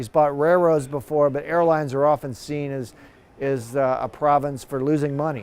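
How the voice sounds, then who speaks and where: A man talks in a normal speaking voice, his pitch fairly high and his intonation fairly even, at a moderate pace. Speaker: university professor and airline industry expert. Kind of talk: TV news expert interview answer.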